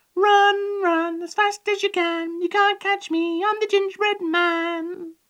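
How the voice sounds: Putting on a sing-song character voice, a woman speaks slowly at an extremely high pitch, with a fairly bright tone and fairly even intonation.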